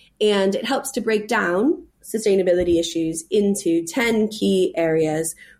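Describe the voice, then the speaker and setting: In a plain, everyday voice, a woman with an American accent speaks at a moderate pace with lively intonation. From California. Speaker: sustainability charity director. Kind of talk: interview. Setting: call.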